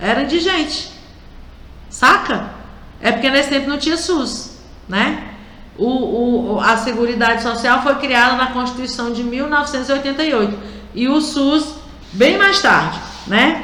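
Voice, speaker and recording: A woman speaks in a raised, projected voice at a high pitch, fairly slowly and with long, frequent pauses. Her pitch variation is ordinary, with audible room echo and noticeable background noise. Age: 60s. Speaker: radio host, union representative. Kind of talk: radio talk show commentary. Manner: conversational, direct address to listeners.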